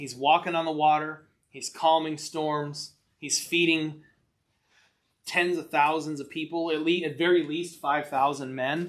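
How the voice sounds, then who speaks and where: Audible room echo surrounds a man talking at a fairly slow pace, his fairly high pitch held in a monotone, flat intonation. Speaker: Bible study teacher. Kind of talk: Bible class discussion. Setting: church.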